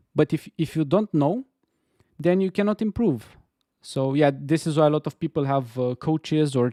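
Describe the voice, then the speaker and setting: A speaker with an Eastern European accent talks at a moderate pace in a dark, mellow tone with ordinary pitch variation. The recording is very clean, with a silent background and a dry, close sound with no echo. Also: man, fairly high pitch for a man. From Romania. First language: Romanian. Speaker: game dev streamer. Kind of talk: casual chat. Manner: halting.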